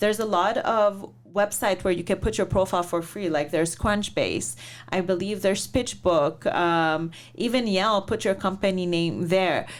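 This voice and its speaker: A woman speaks in an unremarkable speaking voice at a medium pitch with very even loudness. The recording is very clean, with a silent background. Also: ordinary pitch variation, moderate pace. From Lebanon, then Canada. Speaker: venture investor. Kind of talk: interview.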